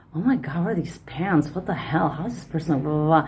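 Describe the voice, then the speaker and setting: This woman has a dark, mellow tone and a fairly low pitch, speaking with a Lithuanian accent and ordinary pitch variation. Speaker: podcaster, personal development coach. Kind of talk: monologue podcast talk. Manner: casual, many fillers and repetitions.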